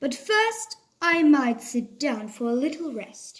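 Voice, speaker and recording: A woman's high-pitched, put-on character voice at a fairly slow pace. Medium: read story. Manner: slow, drowsy.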